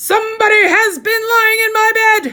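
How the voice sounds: In a put-on character voice, the speaker hits an extremely high pitch at a moderate pace.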